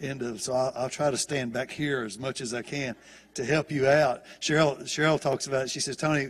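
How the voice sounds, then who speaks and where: Using a Southern US accent, a man talks at a fairly quick pace with medium pitch and fairly even intonation. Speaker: guest preacher. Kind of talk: sermon.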